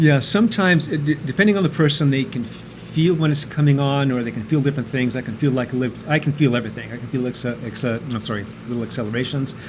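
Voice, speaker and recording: A man talks very fast with hardly any pauses. Noticeable background noise runs underneath. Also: medium pitch for a man, ordinary pitch variation. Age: 60s. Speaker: computer programmer and amateur cyclist. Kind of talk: casual interview. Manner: hesitant, many fillers.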